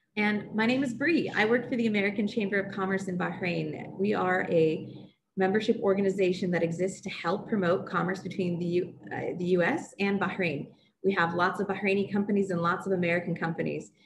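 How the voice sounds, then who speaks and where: Noticeable background noise sits behind this woman's voice. She speaks at a fairly quick pace with fairly even intonation. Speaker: webinar host. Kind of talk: webinar introduction. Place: home room. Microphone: video call.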